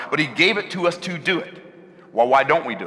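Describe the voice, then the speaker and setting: With noticeable background noise, a man talks very fast with lively intonation. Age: 60s. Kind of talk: sermon.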